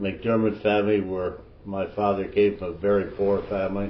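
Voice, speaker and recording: Audible room echo surrounds a man who speaks at a fairly slow pace with an Ontario accent. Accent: rural Ontario Canadian. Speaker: elder storyteller. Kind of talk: oral history storytelling. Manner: halting, with false starts.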